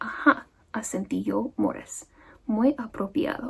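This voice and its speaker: Soft-spoken and calm in tone, the voice moves at a very slow pace over noticeable background noise. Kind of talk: soft-spoken ASMR audiobook reading. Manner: soft-spoken, calm.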